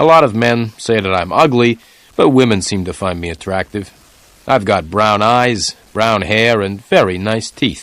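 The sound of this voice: An unforced reading voice carries the whole clip.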